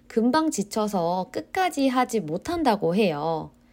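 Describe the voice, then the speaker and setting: Very wide pitch swings mark a woman's very slow speech. The recording is very clean, the background silent. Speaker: Korean language teacher. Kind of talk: scripted language-learning podcast monologue. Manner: slow and clear.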